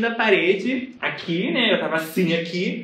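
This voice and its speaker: Spoken in a Rio de Janeiro accent, the voice shows ordinary pitch variation against audible room echo. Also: man. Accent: Carioca Brazilian Portuguese. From Rio de Janeiro, Brazil. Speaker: adult ballet student and social media creator; podcast guest or co-host. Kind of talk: casual chat. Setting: video call. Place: bathroom. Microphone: video call.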